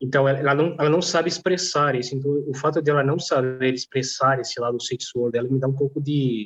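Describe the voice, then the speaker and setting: A man with a non-native accent talks at a fairly quick pace. He leaves hardly any pauses. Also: fairly high pitch for a man, fairly even intonation. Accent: noticeable foreign accent in Portuguese. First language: not Portuguese (speaking Portuguese). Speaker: polyglot language teacher and stripper. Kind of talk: casual chat. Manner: halting.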